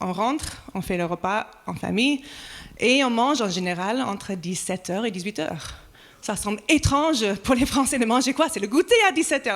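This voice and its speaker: The speaker has an American accent and talks at a moderate pace. The pitch swings very widely. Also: woman. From United States. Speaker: pastor. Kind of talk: sermon.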